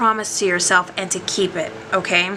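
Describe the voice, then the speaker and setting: Over noticeable background noise, a woman speaks at medium pitch and a moderate pace with ordinary pitch variation. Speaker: tarot card reader. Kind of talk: tarot reading to camera.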